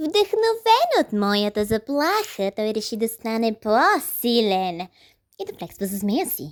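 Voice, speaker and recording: A female-sounding, cartoonish character voice with a fairly high pitch delivers its lines in a theatrical tone. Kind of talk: comic overacting. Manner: mocking, theatrical.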